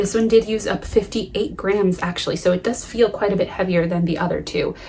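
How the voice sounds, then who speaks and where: Noticeable background noise runs under the recording. A woman with an American accent speaks at a medium pitch. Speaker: knitting podcaster. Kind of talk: casual chat.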